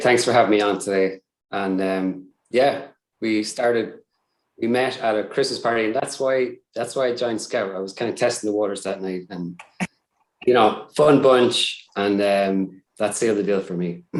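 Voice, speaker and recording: A man with an Irish accent speaks at a moderate pace, his fairly low voice keeping a fairly even intonation. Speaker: cybersecurity support staff. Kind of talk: casual interview. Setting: live stream. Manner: hesitant, many fillers.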